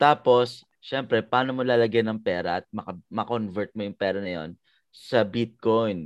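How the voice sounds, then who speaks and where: The voice shows ordinary pitch variation over a quiet background. The sound is dry and close, with no echo. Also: man. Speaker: MMA trainer and fighter. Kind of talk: casual podcast chat. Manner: halting, many fillers.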